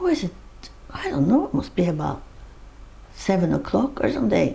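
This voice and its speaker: Behind noticeable background noise, a woman keeps up a moderate pace. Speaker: interviewee, mother of the uploader. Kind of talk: interview answer, personal reminiscence.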